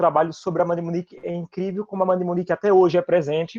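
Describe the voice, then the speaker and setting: A man's high voice with monotone, flat intonation in a northeastern Brazilian accent and a dry, close sound with no echo. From Northeast Brazil. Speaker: filmmaker. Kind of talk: panel discussion. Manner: fast.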